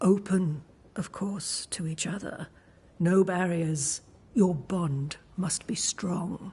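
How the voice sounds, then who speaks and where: A put-on character voice at middle pitch and a very slow pace. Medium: video game. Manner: serene, gently cryptic.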